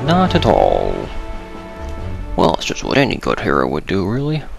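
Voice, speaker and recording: A man's speech proceeds at a moderate pace. There is music underneath. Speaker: let's play gamer. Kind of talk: casual gameplay commentary. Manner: near-whisper, quiet.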